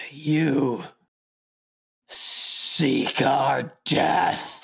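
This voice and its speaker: In a put-on character voice, the speaker growls in a guttural, raspy tone at a low-to-middle pitch. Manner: menacing, accusing.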